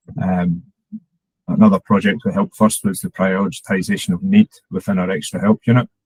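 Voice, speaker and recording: A man with a Scottish accent at a fairly quick pace, in a dry, close sound with no echo. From Scotland. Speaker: head of digital at a charity. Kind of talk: conference talk.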